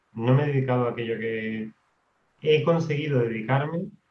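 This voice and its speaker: With ordinary pitch variation, a man's voice comes out somewhat breathy. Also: long, frequent pauses. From Canary Islands, Tenerife. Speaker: maths teacher and writer. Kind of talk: podcast interview. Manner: hesitant, repeats words.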